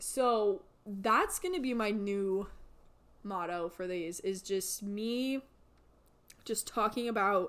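The speaker is a woman. Her pitch is medium. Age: 20s. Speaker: podcast host. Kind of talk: casual solo monologue.

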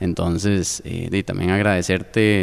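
A man speaks in an unremarkable speaking voice, fairly low in pitch, keeping a moderate pace. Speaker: podcast host. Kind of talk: interview.

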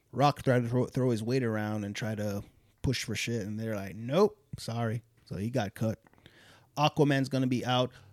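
In a very clean recording with a silent background and a dry, close sound with no echo, a man talks in a normal speaking voice, medium in pitch with ordinary pitch variation. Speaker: podcast co-host. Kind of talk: casual chat.

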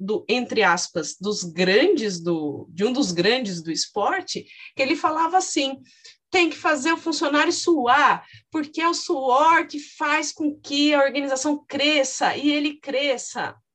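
High-pitched and fairly unhurried, a woman is speaking. The pitch of her voice rises and falls across a very wide range. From interior of São Paulo state. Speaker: podcast host and psychology professor. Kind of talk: interview.

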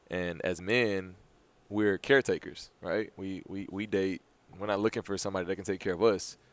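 A man talks in a plain, everyday voice with a fairly low pitch and fairly even intonation. The recording is very clean, with a silent background. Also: moderate pace. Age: 20s. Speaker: podcast co-host. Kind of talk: casual chat.

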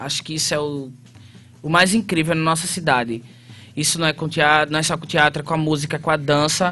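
This man speaks in a northeastern Brazilian accent with a fairly high pitch. His tone is bright and sharp. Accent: northeastern Brazilian, noticeable. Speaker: theatre actor and artist. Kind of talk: radio interview.

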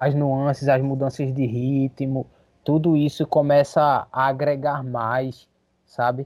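A man's fairly high voice, monotone and flat, at a very slow pace. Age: 30s. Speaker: vocalist of a hardcore band. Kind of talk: casual chat.

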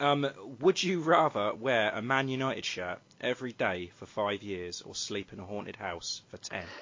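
Showing an ordinary speaking voice, a man talks with lively intonation and big swings in loudness. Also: medium pitch for a man, moderate pace. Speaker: podcast host. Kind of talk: casual chat.

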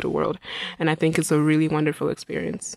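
A woman with a fairly low voice. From Nigeria, Imo State. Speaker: student. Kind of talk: radio interview. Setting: radio studio.

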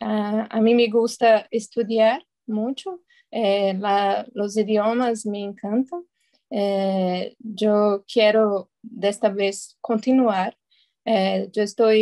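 A woman speaks in a Portuguese accent. Her voice is fairly high-pitched, with a dark, mellow tone. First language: Portuguese (speaking Spanish). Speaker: Spanish learner. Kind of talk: casual chat.

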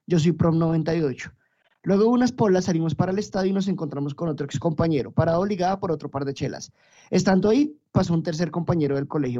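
A man's high-pitched, dark and mellow voice with lively intonation. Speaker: podcast host. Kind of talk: casual chat.

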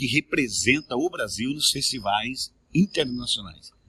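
This man has a medium-pitched voice with a bright, sharp tone, recorded dry and close with no echo. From Mato Grosso, Brazil. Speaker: singer, composer and TV presenter. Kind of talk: casual interview chat.

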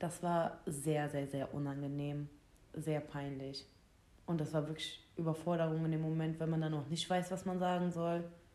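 Audible room echo surrounds a woman with a very deep, low pitch and a dark, mellow tone. She speaks at a moderate pace in a monotone, flat intonation. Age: 20s. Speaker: podcast co-host. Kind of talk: casual chat.

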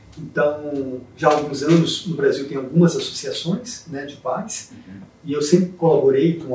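A fairly high male voice at a fairly slow pace, ordinary pitch variation, and noticeable background noise. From Brazil, interior of Espírito Santo. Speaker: neurologist and university professor. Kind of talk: interview.

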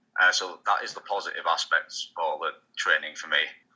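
Speaking with a British accent, a man talks. His pace is fairly quick. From UK. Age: 30s. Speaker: pro wrestler. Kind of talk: interview.

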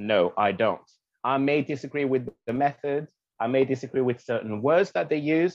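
A man with a French accent, at a moderate pace. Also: medium pitch for a man, ordinary pitch variation. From Guadeloupe. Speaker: activist and content creator. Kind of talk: casual interview chat.

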